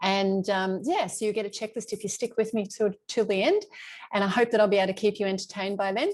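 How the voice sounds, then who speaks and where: Against a quiet background, a woman with an Australian accent talks at a very fast pace, her medium pitch held in fairly even intonation. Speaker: travel coach. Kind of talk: live webinar presentation. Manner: loud.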